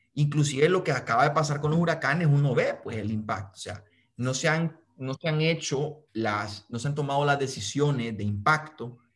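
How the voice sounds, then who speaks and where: Against a quiet background, a somewhat breathy man with a Honduran accent speaks at a moderate pace, his fairly high pitch moving in lively intonation. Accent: Honduran Spanish (voseo). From Honduras. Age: 20s. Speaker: young activist and aspiring politician; interviewee. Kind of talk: interview. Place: home room. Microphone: video call.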